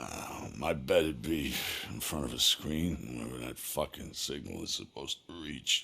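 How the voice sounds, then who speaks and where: A man puts on a raspy character voice with a very deep, low pitch. He keeps a moderate pace with ordinary pitch variation. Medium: video game. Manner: cynical, weary.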